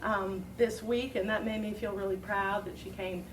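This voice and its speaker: The voice moves at a moderate pace, with audible room echo and noticeable background noise. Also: woman. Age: 50s. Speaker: talk show host. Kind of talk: casual chat. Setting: stage with audience. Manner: halting.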